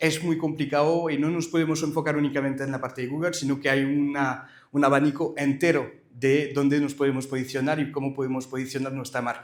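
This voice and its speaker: A man with a French accent speaks at a fairly quick pace in a fairly high pitch, his intonation flat and monotone, with audible room echo. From France. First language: French (speaking Spanish). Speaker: company director, conference speaker. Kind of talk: conference presentation. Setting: live event with audience. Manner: hesitant, many filler sounds.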